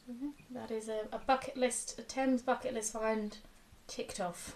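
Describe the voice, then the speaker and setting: Her fairly high voice carries at a moderate pace as the woman speaks. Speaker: mudlarking video host. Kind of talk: casual chat.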